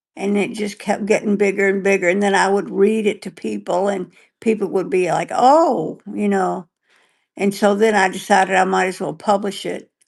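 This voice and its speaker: A woman with vocal fry speaks at a medium pitch and a moderate pace. Her pitch variation is ordinary, and the background is quiet. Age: 70s. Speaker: stroke survivor and author, podcast co-host. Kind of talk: casual chat. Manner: halting.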